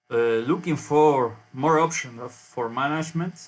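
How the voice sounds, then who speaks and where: With a Spanish accent, a man speaks at a very slow pace with fairly high pitch and ordinary pitch variation. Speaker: university researcher. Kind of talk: conference presentation. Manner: halting.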